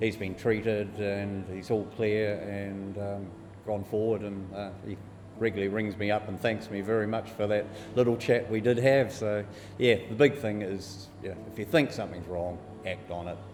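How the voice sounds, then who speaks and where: Fairly even intonation marks this man's voice, delivered with a New Zealand accent. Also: fairly low pitch for a man, moderate pace. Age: 50s. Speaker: bowel cancer survivor. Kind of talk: interview answer. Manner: casual.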